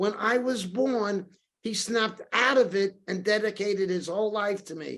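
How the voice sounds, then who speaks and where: Fairly even intonation in a man's high register. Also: moderate pace. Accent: New York. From New York City, Brooklyn and Queens. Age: 60s. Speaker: storyteller and author. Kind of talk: podcast interview. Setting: podcast.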